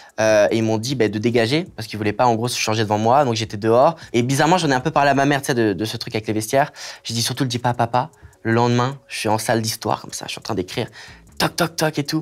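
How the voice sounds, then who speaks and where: Using ordinary pitch variation, a man speaks at a very fast pace. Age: 20s. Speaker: content creator. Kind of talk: interview, personal story. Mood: emotional personal story, animated. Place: studio.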